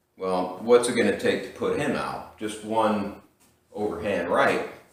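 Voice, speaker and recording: This man talks at a fairly slow pace, and room echo is audible around him. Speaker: boxing instructor. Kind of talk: tutorial. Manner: casual.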